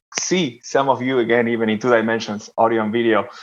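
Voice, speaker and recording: A man speaks with an Argentine accent. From Argentina. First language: Spanish. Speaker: developer relations executive. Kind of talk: panel discussion. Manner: halting, many fillers.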